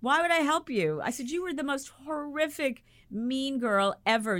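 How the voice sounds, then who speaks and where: A woman's voice with very wide pitch swings. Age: 60s. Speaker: storyteller. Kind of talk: casual chat.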